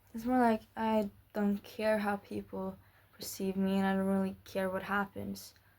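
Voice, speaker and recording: A woman speaks at a fairly slow pace and a medium pitch, recorded very cleanly against a silent background. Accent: non-native. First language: not English. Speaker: vlogger. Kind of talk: casual monologue. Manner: halting, with fillers and repetitions.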